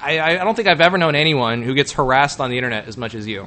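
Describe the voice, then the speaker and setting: Lively intonation marks a man speaking with an American accent at a fairly quick pace. Noticeable background noise runs behind him. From Texas. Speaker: call-in show host. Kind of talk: casual call-in chat.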